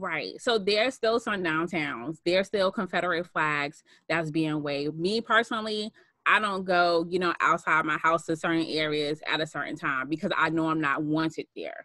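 A woman with an American accent and a fairly low pitch, a bright, sharp tone and ordinary pitch variation at a moderate pace, in a dry sound with no echo and a quiet background. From Boston, Massachusetts. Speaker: social worker. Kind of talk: casual interview. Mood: earnest, serious. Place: home room. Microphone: webcam.

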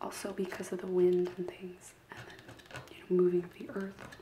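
Soft-spoken whispering at a moderate pace, with noticeable background noise. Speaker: craft vlogger. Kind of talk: casual vlog chat. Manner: soft ASMR whisper while scratching.

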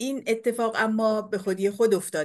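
In a quiet setting, a woman speaks at a moderate pace. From Iran, Abadan; Iran. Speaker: painter and poet; poet. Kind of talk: lecture. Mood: warm, reflective. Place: home room. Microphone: webcam.

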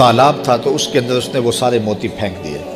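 Clear music plays behind a man speaking with ordinary pitch variation. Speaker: Islamic scholar giving a religious lecture. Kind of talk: Islamic sermon (bayan). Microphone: podium.

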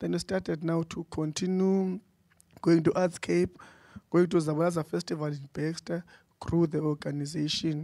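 Over a quiet background, a man speaks at a moderate pace in a fairly high, dark, mellow voice with monotone, flat intonation. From South Africa. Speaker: theatre company founder; panelist. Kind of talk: panel talk. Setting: stage with audience. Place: hall. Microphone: handheld.

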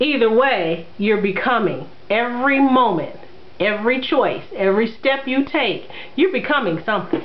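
The speaker talks at a moderate pace with few pauses and lively intonation over clear background noise. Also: woman, fairly high pitch for a woman.

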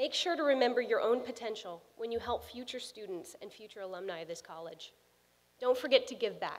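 Fairly high for a woman, her voice moves at a fairly quick pace with lively intonation and big swings in loudness. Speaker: alumna and architect giving a speech; speaker. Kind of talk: commencement speech. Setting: stage with audience. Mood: warm, encouraging. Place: hall. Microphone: podium.

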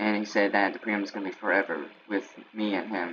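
A man with a fairly low pitch at a moderate pace, with noticeable background noise. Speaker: gamer youtuber. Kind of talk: casual gameplay commentary.

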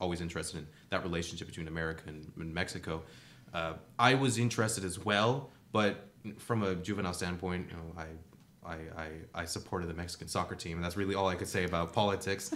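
Speaking at a very fast pace, a man uses a very deep, low pitch with ordinary pitch variation. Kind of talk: interview answer. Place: studio. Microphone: studio mic.

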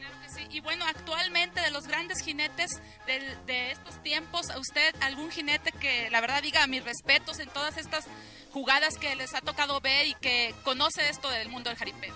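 A raised, projected voice with fairly even intonation at a moderate pace, dry with no echo, over clear music in the background. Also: woman, high pitch for a woman. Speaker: interviewer. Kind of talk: TV interview host. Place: farm. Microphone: handheld.

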